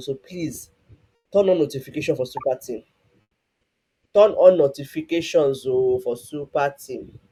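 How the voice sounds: With music in the background, a man talks at a moderate pace and a fairly high pitch with ordinary pitch variation, big swings in loudness and long, frequent pauses.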